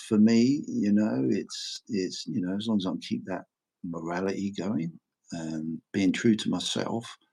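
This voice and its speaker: At a moderate pace, a man with a fairly low pitch talks in an unremarkable speaking voice. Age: 60s. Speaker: precious metals YouTuber. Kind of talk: casual chat.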